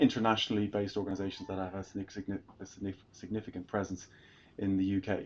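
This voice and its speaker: A man's fairly low, monotone voice with flat intonation and an Irish accent. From Ireland. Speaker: tech sales executive. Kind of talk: fireside chat interview. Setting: live event with audience. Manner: hesitant, many fillers and repetitions.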